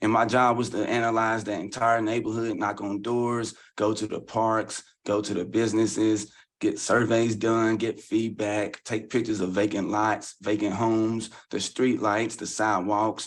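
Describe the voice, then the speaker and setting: With a Southern US accent, a man speaks at a fairly low pitch in a monotone, flat delivery. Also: moderate pace, quiet background. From Louisville, Kentucky. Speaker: community leader and housing advocate. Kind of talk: podcast interview.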